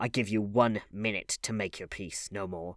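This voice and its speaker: Putting on a growling character voice with a menacing tone, a man speaks at a fairly low pitch and moderate pace with fairly even intonation. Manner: growling, menacing.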